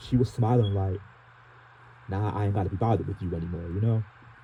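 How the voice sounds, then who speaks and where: A man with an American accent talks at a very fast pace in a fairly low, dark, mellow, somewhat breathy voice with fairly even intonation. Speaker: transit fan vlogger. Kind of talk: personal vlog monologue. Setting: in the dark. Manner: halting, repetitive.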